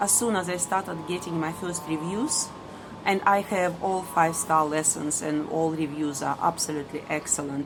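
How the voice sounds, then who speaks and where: A woman's voice with a strong non-native accent and fairly even intonation, over noticeable background noise. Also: fairly low pitch for a woman, moderate pace. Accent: strong foreign. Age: middle-aged. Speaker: ESL teacher. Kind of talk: personal vlog monologue. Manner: hesitant with many fillers.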